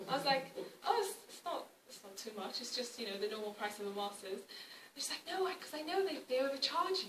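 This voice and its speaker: With audible room echo, a woman talks fairly quickly in a high pitch, her voice showing very wide pitch swings and big swings in loudness. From Wales, Cardiff. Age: 20s. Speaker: activist. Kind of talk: public talk. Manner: halting, many fillers and repeats.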